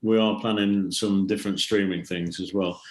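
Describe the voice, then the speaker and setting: In a fairly low voice, a man talks with monotone, flat intonation. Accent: English. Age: 70s. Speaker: rock drummer. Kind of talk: podcast interview.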